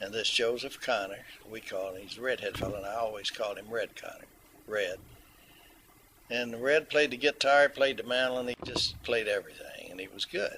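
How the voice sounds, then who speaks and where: Amid noticeable background noise, a man talks at a fairly quick pace with big swings in loudness. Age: 70s. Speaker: mandolin player, navy veteran. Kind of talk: interview, storytelling. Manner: halting, with many fillers.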